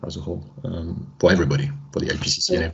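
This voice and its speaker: Speaking at a very fast pace, a man with a French accent has lively intonation. Audible room echo surrounds his voice. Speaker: climate researcher. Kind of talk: video conference discussion. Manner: halting.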